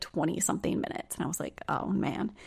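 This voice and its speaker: On a very clean recording with a silent background, a woman's speech races along at a very fast pace. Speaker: trauma practitioner and somatic coach. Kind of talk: casual chat.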